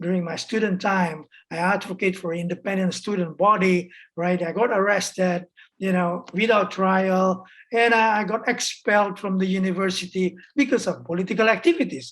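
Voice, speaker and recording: A woman speaks at a moderate pace with a medium pitch. Her intonation stays fairly even. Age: 60s. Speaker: human rights activist. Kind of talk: interview. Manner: halting, many fillers and repetitions.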